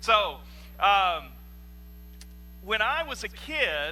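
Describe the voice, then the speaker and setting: Audible room echo hangs around a man as he talks. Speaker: pastor. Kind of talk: sermon. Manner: loud.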